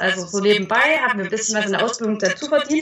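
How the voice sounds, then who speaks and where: This woman talks with ordinary pitch variation and a slight Thuringian accent. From Thuringia, rural village. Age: 20s. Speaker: parenting blogger. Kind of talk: interview.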